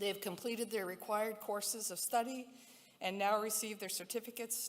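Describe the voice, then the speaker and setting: With fairly even intonation and a moderate pace, a woman talks while noticeable background noise is present. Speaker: university leader addressing graduates. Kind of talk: ceremonial speech. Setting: convocation ceremony with audience.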